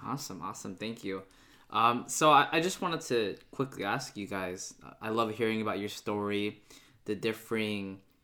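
A man with an American accent speaks at a fairly low pitch and moderate pace in a bright, sharp tone with ordinary pitch variation. The recording is very clean, with a silent background. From United States, Filipino American. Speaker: podcast host. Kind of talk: casual interview.

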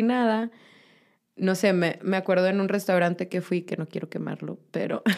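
A woman speaks with a Mexican accent at a medium pitch. Her intonation is fairly even, in a very clean recording with a silent background. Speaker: vegan guest. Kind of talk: casual chat.

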